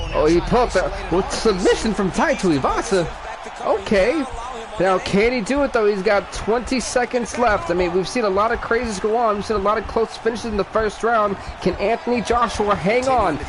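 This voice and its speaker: The tone is animated, with ordinary pitch variation. Noticeable background noise can be heard. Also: man, high pitch for a man. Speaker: gaming streamer. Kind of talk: live game commentary. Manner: fast.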